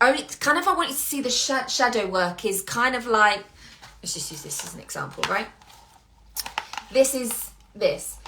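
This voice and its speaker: Loud and animated, a woman with a high pitch and lively intonation speaks at a moderate pace with long, frequent pauses over noticeable background noise. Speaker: business coach. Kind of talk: motivational monologue.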